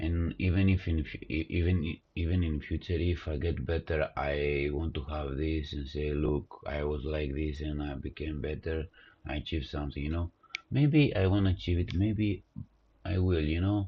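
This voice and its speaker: A man with a non-native accent speaks at a moderate pace with a very deep, low pitch, fairly even intonation and a somewhat breathy sound. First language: not English. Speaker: coding live streamer. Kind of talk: live coding stream. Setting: live stream. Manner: halting, many fillers.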